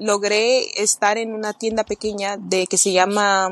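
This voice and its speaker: Very slow speech from a woman at medium pitch. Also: dry, close sound with no echo. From France and Spain. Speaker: fashion designer. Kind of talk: casual chat. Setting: long-distance call.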